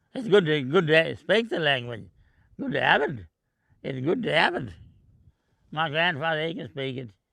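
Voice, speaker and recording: Vocal fry at a moderate pace, with big swings in loudness and long, frequent pauses. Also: man, fairly high pitch for a man, lively intonation. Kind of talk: personal interview.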